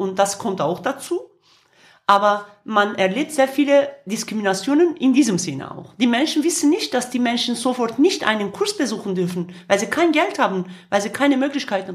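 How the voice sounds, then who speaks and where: Moderately paced, a woman with a Kurdish accent speaks at a fairly high pitch with very wide pitch swings. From Kurdish region of Turkey. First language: Kurdish (speaking German). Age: 50s. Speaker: singer and activist. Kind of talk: interview. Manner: halting, with frequent fillers.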